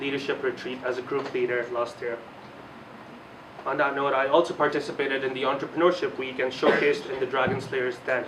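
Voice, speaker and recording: A man's fairly high, monotone, flat voice at a fairly quick pace, with audible room echo and noticeable background noise. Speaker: student election candidate. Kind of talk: campaign speech.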